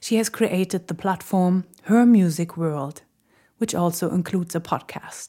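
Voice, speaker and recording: A woman speaks with a dark, mellow tone and ordinary pitch variation. The recording is very clean, with a silent background. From Berlin, Germany. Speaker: podcast host. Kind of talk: scripted narration.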